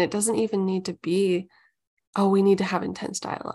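An unremarkable speaking voice with an American accent, fairly even intonation and a moderate pace, on a very clean recording with a silent background. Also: woman. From Omaha, Nebraska. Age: 30s. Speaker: ministry community leader. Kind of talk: casual chat.

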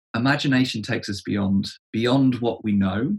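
Someone talks in an English accent with ordinary pitch variation. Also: man. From England. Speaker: church leadership coach. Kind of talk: interview conversation. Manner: halting, with frequent word repetitions.

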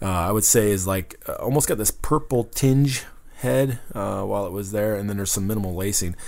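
A man with a fairly low pitch talks at a fairly quick pace in a normal speaking voice, with ordinary pitch variation. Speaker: beer radio co-host. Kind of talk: casual chat.

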